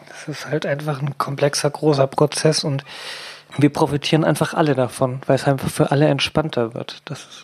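Over noticeable background noise, a woman with a very deep, low pitch speaks at a moderate pace in a flat monotone, her loudness swinging widely. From Hamburg. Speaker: activist. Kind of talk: casual chat.

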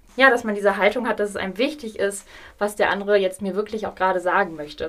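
Ordinary pitch variation marks a plain, everyday voice that runs at a fairly quick pace. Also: woman. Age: 30s. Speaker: hospice coordinator. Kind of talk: interview.

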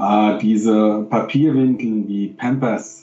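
A man talks at a medium pitch. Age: 50s. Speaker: professor and games industry expert. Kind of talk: interview. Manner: halting.

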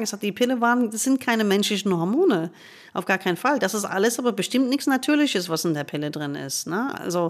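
Her intonation lively, a woman with a fairly high voice talks at a very fast pace. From United States. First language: English (speaking German). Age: 50s. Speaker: gynecologist and author. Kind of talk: interview conversation.

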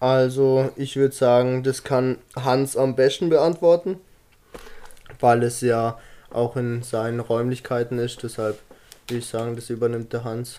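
A man speaks at a fairly slow pace with a medium pitch, fairly even intonation, and long, frequent pauses. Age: 20s. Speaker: fitness influencer. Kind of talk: casual chat.

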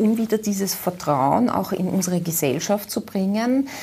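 Her intonation is lively. This woman's voice is somewhat breathy. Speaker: business association executive. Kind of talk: TV interview.

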